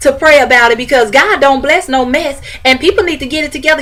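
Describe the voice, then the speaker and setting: A woman speaks in a high voice with ordinary pitch variation. Noticeable background noise is present. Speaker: vlogger giving relationship advice. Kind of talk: casual advice monologue. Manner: animated.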